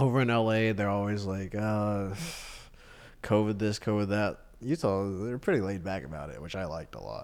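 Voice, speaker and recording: A man speaks in a plain, everyday voice at a fairly low pitch and a moderate pace. His pitch varies in an ordinary way, while his loudness swings widely. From Austin, Texas. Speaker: stand-up comedian. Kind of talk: casual interview chat.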